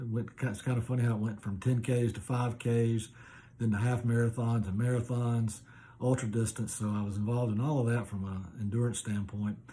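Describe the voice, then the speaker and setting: A man with an American accent speaks at medium pitch in monotone, flat intonation. His tone is dark and mellow, and somewhat breathy. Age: 60s. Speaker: masters athlete. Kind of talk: video application monologue. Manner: casual with frequent fillers.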